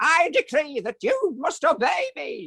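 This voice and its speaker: This put-on character voice is high in pitch and moves at a fairly slow pace, with very wide pitch swings. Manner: commanding, imperious.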